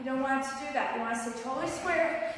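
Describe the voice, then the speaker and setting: The speaker's pitch varies in an ordinary way, with light background noise and strong echo from the room. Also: woman. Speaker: fitness instructor. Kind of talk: tutorial. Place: garage. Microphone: camera far.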